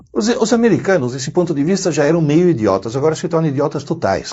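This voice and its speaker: Speaking very fast, a man uses a fairly high pitch, lively intonation and vocal fry. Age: 60s. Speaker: educator, university professor. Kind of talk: interview.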